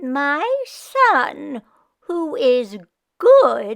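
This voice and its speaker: The speaker is a woman doing a put-on character voice. She pitches it high. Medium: read story. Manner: whiny, dramatic.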